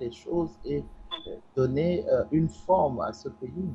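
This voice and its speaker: A man speaks with ordinary pitch variation and a somewhat breathy voice. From Togo. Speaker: political commentator. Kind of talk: panel debate. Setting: studio.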